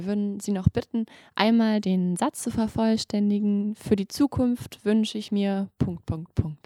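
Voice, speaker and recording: This woman has a plain, everyday voice and speaks at a fairly slow pace. The recording sounds dry and close, with no echo. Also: medium pitch for a woman, fairly even intonation. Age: 20s. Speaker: medical student podcast host. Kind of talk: interview.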